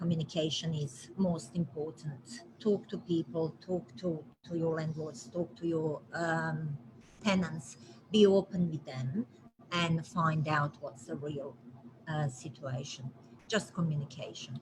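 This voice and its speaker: Her voice sits at a fairly low pitch, and she has a non-native accent. The woman speaks at a fairly slow pace with ordinary pitch variation. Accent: foreign. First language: not English. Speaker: property manager. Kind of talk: live stream interview. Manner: hesitant, many fillers.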